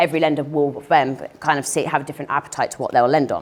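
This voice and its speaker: A woman speaks very quickly while noticeable background noise carries on behind her. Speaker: finance broker. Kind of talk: presentation. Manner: fast.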